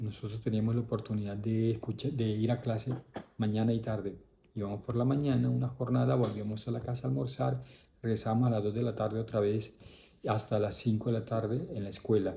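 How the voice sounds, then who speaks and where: In a dark, mellow tone that is somewhat breathy, a man talks at a fairly quick pace with ordinary pitch variation. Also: medium pitch for a man. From Colombia, Caribbean coast (Córdoba). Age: 60s. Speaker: priest. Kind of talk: interview, life story.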